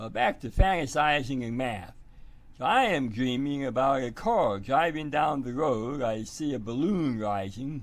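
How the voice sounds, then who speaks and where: A man at a fairly slow pace, lively in intonation, with audible room echo. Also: medium pitch for a man. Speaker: math teacher. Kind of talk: tutorial. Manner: halting, many fillers.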